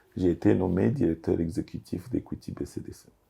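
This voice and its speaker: In a very clean recording with a silent background, a dark, mellow, somewhat breathy voice speaks at a fairly slow pace. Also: man. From DR Congo. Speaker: business executive. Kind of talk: interview. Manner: hesitant, many fillers.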